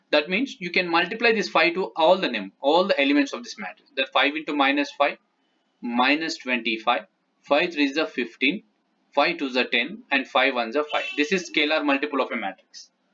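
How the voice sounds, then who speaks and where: This man talks at a fairly quick pace with a fairly high pitch. His intonation is lively and his tone bright and sharp. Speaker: math teacher. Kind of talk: tutorial.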